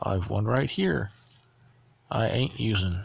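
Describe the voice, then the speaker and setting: This is a put-on character voice, croaky in sound. It goes at a fairly slow pace with ordinary pitch variation. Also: man, fairly low pitch for a man. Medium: read story.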